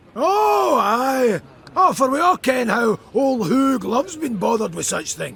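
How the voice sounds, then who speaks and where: A man's put-on character voice in a Scottish accent, extremely high-pitched and at a fairly slow pace. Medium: video game.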